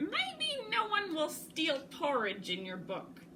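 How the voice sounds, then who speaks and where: High-pitched put-on character voice from a woman, fairly slow, with clear background noise. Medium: read story. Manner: warm, encouraging.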